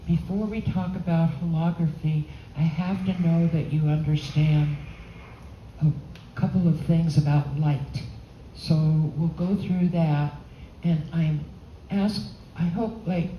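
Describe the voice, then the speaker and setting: A woman speaks fairly slowly with fairly even intonation and long, frequent pauses, her voice somewhat breathy and dark and mellow in tone. Audible room echo surrounds her. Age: 80s+. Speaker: holography expert and painter giving a talk. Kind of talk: lecture. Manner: halting.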